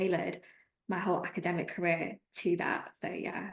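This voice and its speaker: A woman with a Lancashire accent speaks at a fairly low pitch. Her delivery is fairly quick, with monotone, flat intonation. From northern England, Preston, Lancashire. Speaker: trainee solicitor. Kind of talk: interview.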